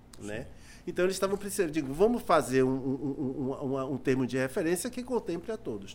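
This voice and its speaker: Moving at a fairly quick pace, a man's voice swings very widely in pitch. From Salvador, Bahia, Brazil (Cidade Baixa). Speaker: musician and music teacher. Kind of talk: casual interview chat. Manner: halting, many repetitions.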